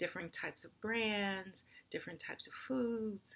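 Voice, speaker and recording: Here is an unremarkable speaking voice from a woman with an American accent and medium pitch. She speaks at a fairly slow pace with lively intonation. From United States. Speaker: university diversity administrator. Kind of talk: personal commentary to camera.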